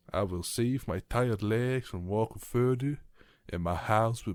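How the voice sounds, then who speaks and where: On a very clean recording with a silent background, a man speaks fairly slowly in a fairly low voice. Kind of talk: bedtime story reading, ASMR.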